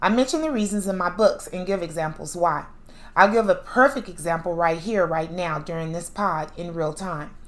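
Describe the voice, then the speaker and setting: At a moderate pace, a woman talks with a fairly low pitch and ordinary pitch variation, and audible room echo surrounds her. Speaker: podcast host; author. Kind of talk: monologue lecture.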